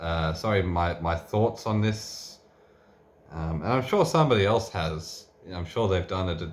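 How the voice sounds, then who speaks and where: A soft-spoken man with a very deep, low pitch speaks at a moderate pace with ordinary pitch variation, and the room echo is audible. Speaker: tool reviewer. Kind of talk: unscripted tool review and teardown. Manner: soft-spoken, talking quietly; halting, many fillers and restarts.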